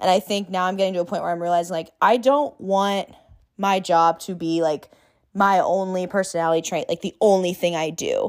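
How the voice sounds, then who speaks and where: Fairly quick speech with a Californian accent on a very clean recording with a silent background. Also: woman, medium pitch for a woman. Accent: Californian American. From Long Beach, California. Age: 20s. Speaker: florist and small business owner. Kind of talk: casual interview chat. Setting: home recording with headphones. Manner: animated.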